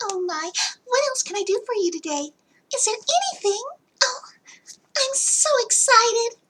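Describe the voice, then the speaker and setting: This is a put-on character voice at an extremely high pitch. It moves at a moderate pace with long, frequent pauses. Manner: sudden silly, excited.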